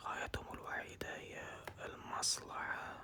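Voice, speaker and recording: Someone whispers at a very slow pace. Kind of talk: ASMR casual chat. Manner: whispered, soft-spoken.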